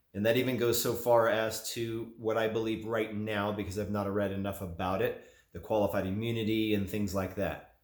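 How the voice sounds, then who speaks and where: With hardly any pauses, a man talks at a moderate pace in a fairly low, monotone voice with flat intonation, and audible room echo. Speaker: gun and gear YouTuber. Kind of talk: opinion monologue to camera.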